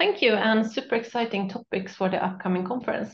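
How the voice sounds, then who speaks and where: The voice is somewhat breathy, and its pitch varies in an ordinary way. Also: woman. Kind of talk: webinar presentation. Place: home room. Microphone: video call.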